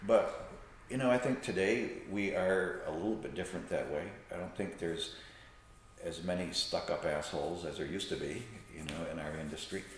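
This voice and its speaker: Noticeable background noise and audible room echo surround a man. He speaks at a fairly quick pace. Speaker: salon owner and hairstylist. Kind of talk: podcast interview. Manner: animated.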